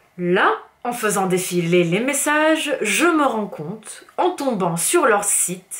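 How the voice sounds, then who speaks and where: Over noticeable background noise, a woman speaks very slowly at a fairly high pitch with very wide pitch swings. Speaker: fitness coach and youtuber. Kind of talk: angry vlog rant. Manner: animated.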